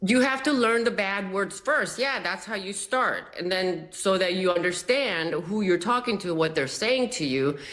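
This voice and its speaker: A woman speaks at a moderate pace with a Spanish accent and lively intonation. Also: medium pitch for a woman, hardly any pauses. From immigrant, arrived age twelve. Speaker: TV contributor. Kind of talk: TV panel discussion.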